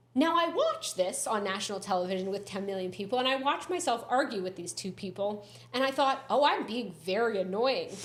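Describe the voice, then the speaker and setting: Amid noticeable background noise and audible room echo, a woman with a fairly high pitch speaks with lively intonation. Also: fairly quick pace. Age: 30s. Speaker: comedy writer and reality TV runner-up. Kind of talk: podcast interview, casual chat.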